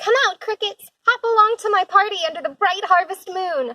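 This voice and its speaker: In a squeaky, put-on character voice at extremely high pitch, a woman speaks at a moderate pace with lively intonation, in a dry, close sound with no echo. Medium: read story. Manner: eager, friendly.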